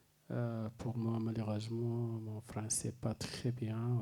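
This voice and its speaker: A man speaks very slowly in a dark, mellow tone at a medium pitch, his intonation flat and monotone. Audible room echo fills the recording. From Sudan. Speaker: lawyer and writer. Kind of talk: conference speech. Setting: press conference. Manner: halting.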